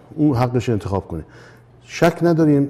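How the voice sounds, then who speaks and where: With a dark, mellow tone, a man talks at a moderate pace. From Iran, Tehran. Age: 70s. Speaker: composer; interview guest. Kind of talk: interview. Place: studio.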